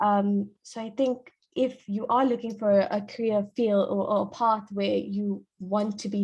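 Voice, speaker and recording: A woman's somewhat breathy voice at medium pitch, flat and monotone in intonation. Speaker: pharmacist. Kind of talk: career talk at online panel. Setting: online video event. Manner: fast.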